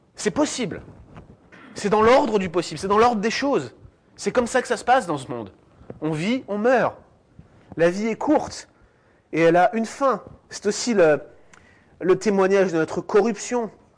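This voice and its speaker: A man with a high pitch speaks at a moderate pace and lively intonation. His speech has long, frequent pauses. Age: 30s. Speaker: theology student and guest speaker. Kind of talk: lecture. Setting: church with audience.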